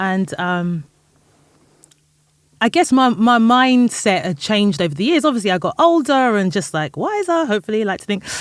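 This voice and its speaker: A woman with a London accent speaks at a moderate pace. Her fairly high pitch swings very widely. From England, North London. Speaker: music industry executive and founder. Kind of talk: podcast interview. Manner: casual, filler-heavy.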